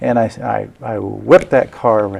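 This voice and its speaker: A man at a moderate pace with fairly even intonation, amid noticeable background noise. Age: 60s. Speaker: political candidate. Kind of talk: interview.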